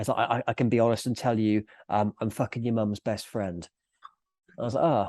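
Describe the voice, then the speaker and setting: A dark, mellow tone at a fairly quick pace, with fairly even intonation and long, frequent pauses. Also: man, medium pitch for a man, dry, close sound with no echo. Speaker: business owner and author. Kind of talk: podcast interview.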